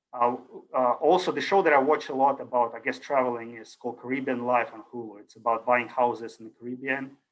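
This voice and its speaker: A man with a Russian accent talks at a very fast pace. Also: medium pitch for a man, fairly even intonation, big swings in loudness. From Ukraine. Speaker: university lecturer. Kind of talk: lecture. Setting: video call. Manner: casual, hesitant with fillers.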